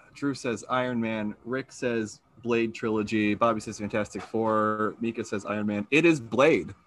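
A man speaks in a normal speaking voice at a moderate pace, pitched in the middle range. His intonation stays fairly even, with hardly any pauses. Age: 30s. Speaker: podcast host running a trivia game. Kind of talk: trivia quiz hosting. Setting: video call.

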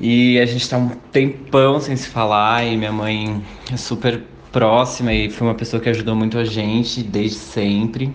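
A man's medium-pitched voice at a moderate pace, flat and monotone in intonation, with audible room echo. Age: 20s. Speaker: civil servant. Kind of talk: interview.

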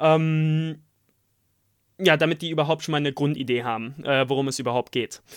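A man speaks at a fairly high pitch with ordinary pitch variation and a moderate pace. The recording is very clean, with a silent background. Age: 20s. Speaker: podcast co-host, formation dancer, student. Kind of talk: casual chat. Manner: halting.

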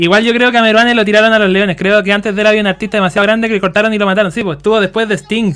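A man's very fast, high-pitched delivery in a Chilean accent, with hardly any pauses and fairly even intonation. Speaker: podcast host. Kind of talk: casual chat.

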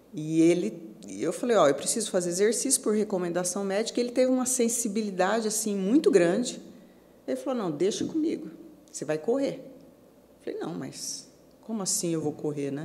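Pausing long and often, a woman with a medium pitch swings very widely in pitch, heard with audible room echo and noticeable background noise. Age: 50s. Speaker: amateur marathon runner. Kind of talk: interview.

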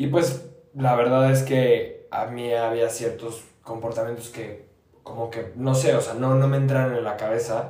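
In a room with audible echo, a man with a Mexican accent speaks fairly slowly in a flat, monotone way. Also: medium pitch for a man. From Mexico, Querétaro. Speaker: law student. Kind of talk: casual chat. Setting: on location outside the studio. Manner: halting.

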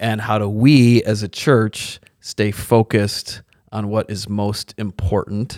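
In a very clean recording with a silent background, a man with a fairly low pitch speaks very slowly in a monotone, flat intonation. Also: dry, close sound with no echo. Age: 40s. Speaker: pastor. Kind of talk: casual chat.

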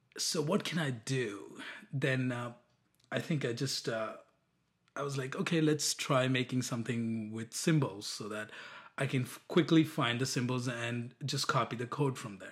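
A man with a medium pitch and a somewhat breathy voice talks at a moderate pace with ordinary pitch variation. The recording is very clean, with a silent background. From India. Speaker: app developer. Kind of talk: casual interview. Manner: halting, many fillers and restarts.

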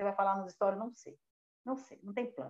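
At a very fast pace, a woman speaks in a dark, mellow tone with ordinary pitch variation. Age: 40s. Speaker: software engineer and tech community founder. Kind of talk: casual chat. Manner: animated.

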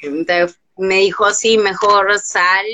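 Her pitch rests in the medium range. The woman speaks very slowly. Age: 20s. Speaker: guest with ataxia sharing life story. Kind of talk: testimony.

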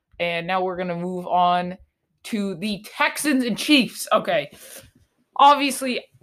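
A woman's animated, bright and sharp voice with lively intonation, in a very clean recording with a silent background. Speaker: sports podcaster. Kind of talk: casual commentary monologue.

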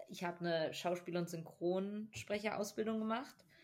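At a fairly slow pace, a woman talks with a fairly low pitch and fairly even intonation. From US (Texas) then Germany. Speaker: podcast co-host. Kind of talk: casual chat.

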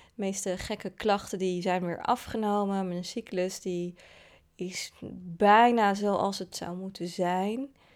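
A woman speaks at a very slow pace with fairly even intonation in a very clean recording with a silent background. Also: medium pitch for a woman. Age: 30s. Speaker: podcast host. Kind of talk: personal narrative. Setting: in person, face to face.

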